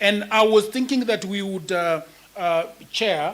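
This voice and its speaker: Over noticeable background noise, a man with a Kenyan accent talks at a high pitch with fairly even intonation. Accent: Kenyan (Luo) English. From Kenya, Nyakach (Luo area). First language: Luo. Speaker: writer and content creator. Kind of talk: panel discussion.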